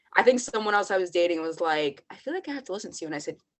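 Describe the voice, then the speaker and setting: A woman's medium-pitched voice in an American accent, very fast pace, and ordinary pitch variation. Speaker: podcast co-host. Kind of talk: casual chat. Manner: calm.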